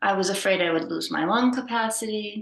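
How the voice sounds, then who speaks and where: A woman speaks at a moderate pace with vocal fry. Her pitch swings very widely. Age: 60s. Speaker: former social worker and artist with chronic lung disease. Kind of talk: informal talk introducing an art workshop.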